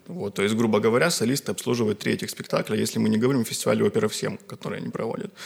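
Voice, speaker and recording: Delivered at a very fast pace, the speech has hardly any pauses. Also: man. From Karelia, Russia. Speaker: musicologist, graduate student. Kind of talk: casual chat.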